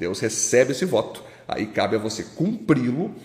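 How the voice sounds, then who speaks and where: A man with a Brazilian accent swings his pitch very widely over noticeable background noise. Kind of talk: Bible study teaching. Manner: informal, colloquial.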